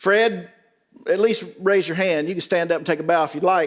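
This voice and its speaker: A man with a Southern US accent, high in pitch, with ordinary pitch variation. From rural West Tennessee. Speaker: pastor. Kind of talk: conference talk. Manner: animated.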